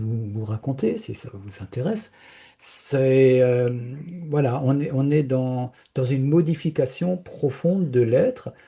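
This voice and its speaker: Against a quiet background, a man speaks very slowly with lively intonation. His tone is dark and mellow and somewhat breathy. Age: 70s. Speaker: spiritual speaker. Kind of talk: personal testimony in an interview. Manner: hesitant, many fillers and repetitions.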